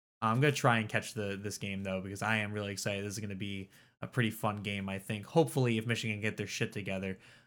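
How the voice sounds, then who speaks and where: Delivered at a very fast pace with fairly even intonation, the speech comes in an American accent on a very clean recording with a silent background. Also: man, fairly low pitch for a man. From Philadelphia. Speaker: podcast co-host. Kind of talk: casual chat.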